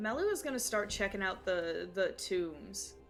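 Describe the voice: With faint music in the background, a woman speaks at a medium pitch with lively intonation.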